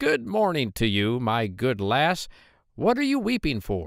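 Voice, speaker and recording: A put-on character voice from a man, medium pitch and fairly slow pace. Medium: read story. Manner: sly, bargaining.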